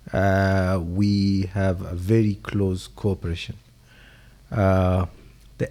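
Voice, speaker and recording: A man's very deep, low voice with a dark, mellow tone and an East African accent, on a very clean recording with a silent background. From Kenyan coast. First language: Swahili. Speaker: government official. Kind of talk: farewell dinner speech. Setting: dinner event. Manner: hesitant with fillers.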